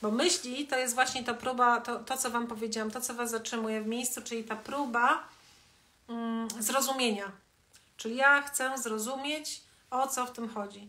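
At a moderate pace, a woman talks at a high pitch with fairly even intonation. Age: 50s. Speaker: wellness educator hosting a live stream. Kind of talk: live stream talk to viewers. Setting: Instagram live video. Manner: conversational, with many fillers. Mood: calm, warm, reflective. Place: home room. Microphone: phone near.

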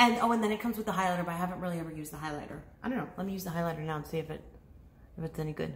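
Amid audible room echo, a woman talks at a very fast pace. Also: fairly low pitch for a woman, ordinary pitch variation. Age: 30s. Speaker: beauty YouTuber. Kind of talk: casual vlog talk to camera. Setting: home living room, talking to camera. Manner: chatty, rambling with fillers. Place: home room. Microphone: phone near.

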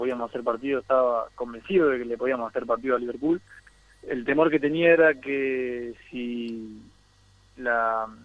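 In an Argentine accent, a man talks with ordinary pitch variation. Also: big swings in loudness. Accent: Argentine Spanish (Rioplatense). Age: 30s. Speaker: professional footballer. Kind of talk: interview.

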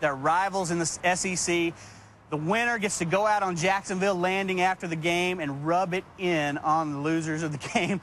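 A high-pitched man talks at a moderate pace in a Texan accent, his intonation fairly even. The sound is dry with no echo, though there is light background noise. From Texas. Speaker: tailgating association representative. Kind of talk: TV interview. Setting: TV studio. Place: street.

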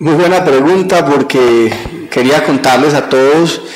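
Someone with a Colombian Paisa accent speaks at a very slow pace. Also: man. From Colombia, eastern Antioquia. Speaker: university rector; interview guest. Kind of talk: TV interview. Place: studio. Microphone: handheld.

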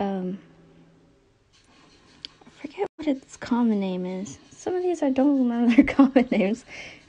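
A squeaky voice moves at a moderate pace with very wide pitch swings and big swings in loudness. Long pauses come often. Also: woman, high pitch for a woman. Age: 20s. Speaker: tarantula keeper. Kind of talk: casual talk to camera. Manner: hesitant, occasional stutter. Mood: nervous, a bit scared. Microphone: phone near.

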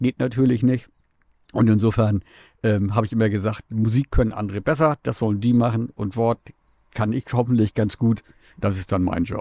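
Dark and mellow in tone, a man talks at a moderate pace with fairly even intonation and long, frequent pauses. The sound is dry with no echo, over a quiet background. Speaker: radio host. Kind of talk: casual interview. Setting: mobile podcast studio. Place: studio. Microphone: studio mic.

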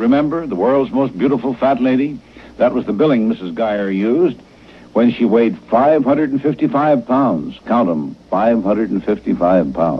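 With vocal fry and lively intonation, a man speaks at a moderate pace and very even loudness. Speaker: radio newscaster / co-host. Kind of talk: radio news segment. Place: studio. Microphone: old recording.

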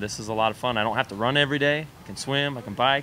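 Talking very fast with an American accent, a man keeps a fairly even intonation and a bright, sharp tone over light background noise. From Idaho, US. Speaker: triathlete; interviewee. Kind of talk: interview. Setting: restaurant on location. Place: cafe. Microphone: handheld.

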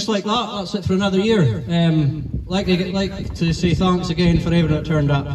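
A man with a high-pitched voice talks at a moderate pace with hardly any pauses, his loudness very even, his tone relaxed and his pitch variation ordinary, over noticeable background noise. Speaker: tournament organiser and announcer. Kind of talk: event announcement and closing speech. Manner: relaxed, informal, hesitant with fillers.

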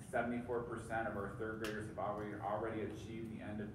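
Moderately paced male speech amid noticeable background noise and audible room echo. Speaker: superintendent giving a report. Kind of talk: formal meeting report. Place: meeting room.

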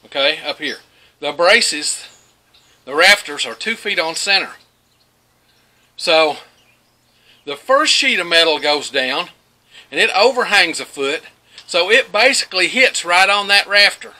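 With long, frequent pauses, a man speaks at a high pitch and with lively intonation. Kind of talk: casual vlog chat. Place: farm machine.

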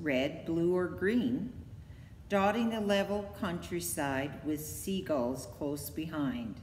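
Pitched fairly low for a woman, her sing-song voice moves very slowly through very wide pitch swings, with audible room echo and light background noise. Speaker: library poetry reader. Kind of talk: poem reading. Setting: online video. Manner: measured, steady, sing-song rhythm. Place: hall. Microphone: phone near.

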